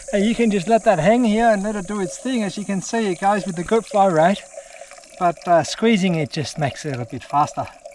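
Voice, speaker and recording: The speech moves at a fairly quick pace, with noticeable background noise. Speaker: outdoor adventure vlogger. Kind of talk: vlog narration while hiking. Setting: outdoors in the wilderness.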